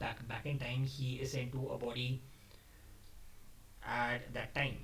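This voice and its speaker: Somewhat breathy and at a medium pitch, a man speaks at a fairly slow pace. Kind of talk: casual talk to camera. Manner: unscripted, halting.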